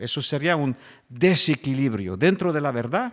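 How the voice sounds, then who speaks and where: A man speaks at a fairly slow pace. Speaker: pastor. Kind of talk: sermon.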